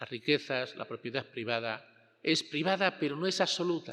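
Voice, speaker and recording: A man's bright, sharp tone at a fairly high pitch. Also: quiet background. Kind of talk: homily.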